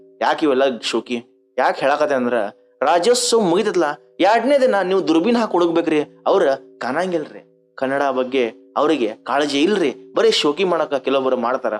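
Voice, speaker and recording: Fairly high-pitched male voice with very wide pitch swings and very even loudness, music in the background. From North Karnataka, India. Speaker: comedian. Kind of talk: stand-up.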